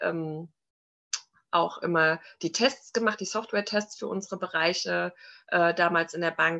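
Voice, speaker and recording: A woman's fairly low voice with a bright, sharp tone, at a moderate pace. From Frankfurt am Main, Hesse. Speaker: entrepreneur and mother. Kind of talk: interview.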